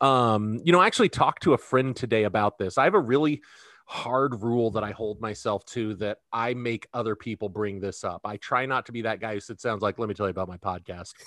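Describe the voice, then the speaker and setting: A man with an American accent talks at a very fast pace with hardly any pauses and ordinary pitch variation, recorded with a dry, close sound with no echo against a quiet background. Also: medium pitch for a man. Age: 30s. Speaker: podcast co-host. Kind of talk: casual podcast banter.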